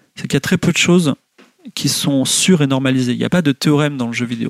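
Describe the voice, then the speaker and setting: A man of medium pitch speaks with ordinary pitch variation in a dry, close sound with no echo. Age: 40s. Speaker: video game writer and teacher. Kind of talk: lecture. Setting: home, livestream. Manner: hesitant, many fillers.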